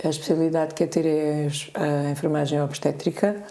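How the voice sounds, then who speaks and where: A woman at a moderate pace amid audible room echo. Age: 60s. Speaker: nurse-midwife and integrative therapist. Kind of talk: podcast interview. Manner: halting, many fillers.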